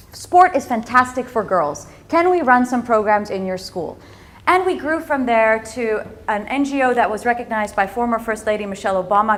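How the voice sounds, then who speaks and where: With an American accent, a woman talks at a fairly quick pace in a fairly high voice. Her tone is animated and her intonation lively. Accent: sounds American. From Netherlands, raised in several countries at American schools. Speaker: entrepreneur and speaker. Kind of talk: inspirational talk.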